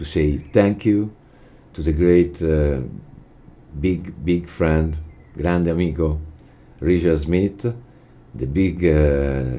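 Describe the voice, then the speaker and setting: Speaking in an Italian accent at a very slow pace, the voice has ordinary pitch variation and long, frequent pauses, with audible room echo. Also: man, very deep, low pitch for a man. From Italy. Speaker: jazz guitar teacher. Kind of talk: lecture. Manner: halting.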